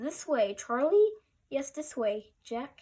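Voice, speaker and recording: Using a put-on character voice, a woman speaks high and warm. Her pace is very slow. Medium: read story. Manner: warm, patient.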